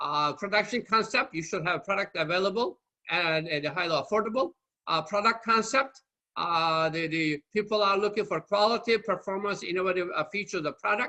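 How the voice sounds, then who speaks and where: The speaker talks at a fairly quick pace with a Turkish accent. Pitch variation is ordinary. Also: man, high pitch for a man. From Turkey. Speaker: marketing lecturer. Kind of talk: lecture. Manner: halting.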